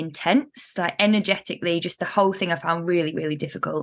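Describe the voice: With a northern English accent, a woman speaks at a fairly low pitch with ordinary pitch variation. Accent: northern English vowels.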